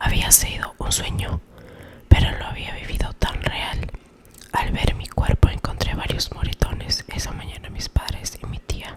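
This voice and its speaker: Someone whispers at a moderate pace with big swings in loudness over noticeable background noise. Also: woman. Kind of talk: ASMR whispered story reading. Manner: whispered, soft.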